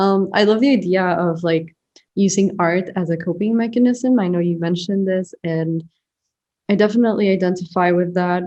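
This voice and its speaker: A woman with a medium pitch speaks in a dark, mellow tone. Her intonation is fairly even and her pace moderate. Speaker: podcast host, artist. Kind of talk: interview.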